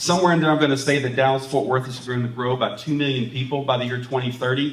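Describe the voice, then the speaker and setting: With an American accent, a man talks at a medium pitch and fairly even intonation, and audible room echo surrounds him. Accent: East Texas with some Alabama. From rural East Texas. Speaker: pastor and conference speaker. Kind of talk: presentation to pastors. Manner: talkative.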